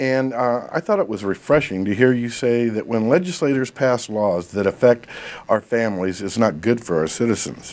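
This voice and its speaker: Over noticeable background noise, a man talks at a moderate pace. His pitch is medium and his intonation lively. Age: 60s. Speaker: talk show host. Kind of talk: interview. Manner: reading from notes.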